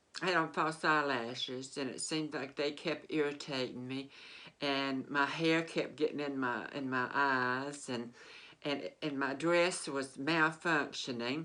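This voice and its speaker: Speaking fairly slowly in a Southern US accent, a woman has a very deep, low pitch, a bright, sharp tone, and fairly even intonation. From Mississippi, US South. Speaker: vlogger. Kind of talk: personal storytelling. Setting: sitting on a bed. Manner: halting.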